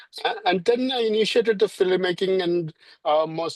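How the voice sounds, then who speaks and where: At a fairly slow pace, a man with a Keralan accent speaks in a dry, close sound with no echo. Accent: Indian (Malayali) English. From India, Kerala. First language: Malayalam. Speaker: filmmaker. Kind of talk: interview. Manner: halting, many fillers.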